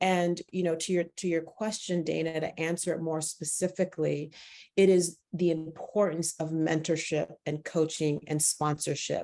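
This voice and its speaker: Delivered at a moderate pace, the speech has a dark, mellow tone and monotone, flat intonation. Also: woman, fairly low pitch for a woman. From immigrated to the US at age eight. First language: not English. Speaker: education organization president. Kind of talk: panel discussion. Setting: webinar.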